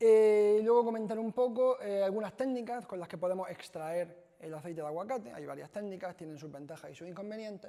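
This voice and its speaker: Barely pausing, a man talks at a fairly quick pace and a high pitch, with a dark, mellow tone and ordinary pitch variation. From Spain, Almería (Andalusia). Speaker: chemist, researcher. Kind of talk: lecture. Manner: hesitant, frequent fillers.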